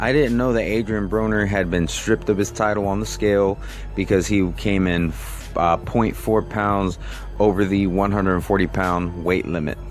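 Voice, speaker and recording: With music in the background, a man of fairly low pitch speaks at a moderate pace with fairly even intonation and very even loudness. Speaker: YouTube boxing commentator. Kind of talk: casual vlog commentary.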